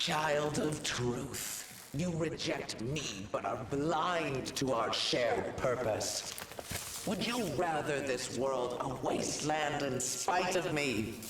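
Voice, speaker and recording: In a cartoonish character voice, a man speaks at a very slow pace with a fairly high pitch, over loud background noise and with a clear echo. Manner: solemn, archaic.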